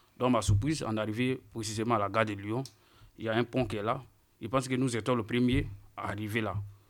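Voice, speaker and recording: A man talks at a very fast pace and medium pitch in a flat monotone, broken by long, frequent pauses. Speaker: unaccompanied minor migrant. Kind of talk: testimony.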